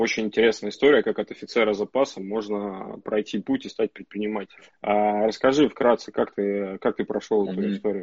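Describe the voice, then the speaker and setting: A man with a plain, everyday voice speaks at a fairly quick pace and fairly low pitch, with fairly even intonation and hardly any pauses. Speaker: entrepreneur, pizza and sushi chain owner. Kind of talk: casual live-stream chat. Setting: Instagram live stream, online.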